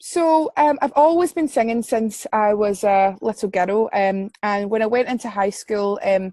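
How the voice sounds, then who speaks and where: With a west central Scottish accent, a woman talks at a fairly slow pace in a fairly high, dark and mellow voice, her intonation lively, hardly pausing at all, and the sound dry and close with no echo. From Scotland, Paisley. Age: 20s. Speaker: singer-songwriter and music student. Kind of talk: interview. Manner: halting, many fillers.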